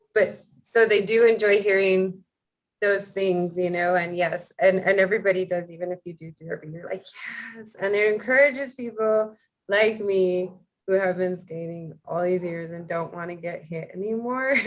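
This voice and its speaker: At a moderate pace, a woman with a medium pitch and an ordinary speaking voice uses ordinary pitch variation alongside big swings in loudness. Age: 40s. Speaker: podcast host and retired roller derby skater. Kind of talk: casual interview.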